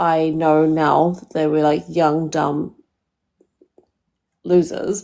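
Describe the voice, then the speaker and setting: A woman with a New Zealand accent, a fairly low pitch, a dark, mellow tone and a very slow pace. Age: 30s. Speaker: caller. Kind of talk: live call-in dating advice. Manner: casual, hesitant with many fillers.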